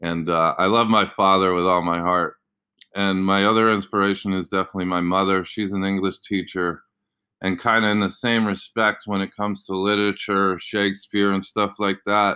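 Bright and sharp in tone, a man's fairly low voice with an American accent holds a monotone, flat intonation at a moderate pace. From Indonesia (international school, Jakarta). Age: 30s. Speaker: PE teacher and podcast host. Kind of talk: solo podcast monologue. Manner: casual, many fillers.

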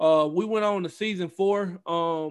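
In a Southern US accent, a man speaks in a high voice with fairly even intonation against a quiet background. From US South, Mississippi Gulf Coast. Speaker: esports team coach and league owner. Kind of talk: casual chat.

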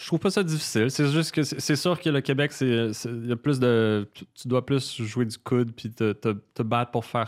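On a very clean recording with a silent background, a man speaks at a very slow pace and medium pitch with ordinary pitch variation. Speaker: singer-songwriter. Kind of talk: casual chat.

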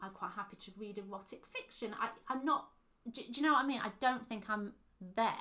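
A woman's high-pitched voice, bright and sharp in tone, at a moderate pace with ordinary pitch variation. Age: 30s. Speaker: podcast co-host. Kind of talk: casual chat. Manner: hesitant, many fillers.

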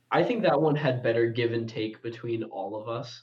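Audible room echo surrounds a man talking at a moderate pace with ordinary pitch variation. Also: medium pitch for a man.

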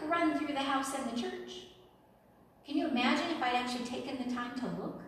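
Amid noticeable background noise and audible room echo, a woman with a high pitch speaks at a moderate pace with long, frequent pauses. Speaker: preacher and schoolteacher. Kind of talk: sermon.

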